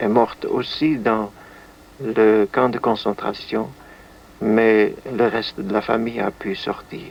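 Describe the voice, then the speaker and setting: This man speaks at a very slow pace with a medium pitch. His intonation is monotone and flat, broken by long, frequent pauses. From Netherlands. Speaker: musician and composer; witness of wartime events. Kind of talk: interview answer.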